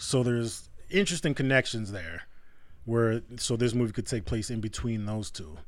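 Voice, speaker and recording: With lively intonation, a man speaks in a normal speaking voice at a medium pitch and a moderate pace. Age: 30s. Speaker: podcast co-host. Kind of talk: casual chat.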